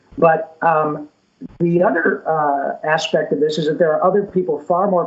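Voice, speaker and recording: A man's fairly high-pitched, fairly evenly intoned voice, a normal speaking voice. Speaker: voice actor. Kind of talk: interview answer.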